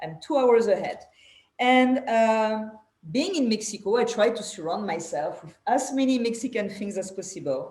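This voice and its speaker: A woman with a strong French accent speaks at a moderate pace, her fairly high voice somewhat breathy. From France. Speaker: podcast host. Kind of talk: casual interview chat.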